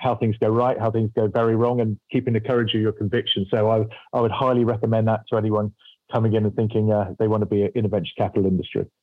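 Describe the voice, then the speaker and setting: In a British accent, a man speaks at a very fast pace in a medium pitch, with monotone, flat intonation and very even loudness. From UK. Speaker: venture capital investor, former army officer. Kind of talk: interview. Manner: hesitant, repeats words.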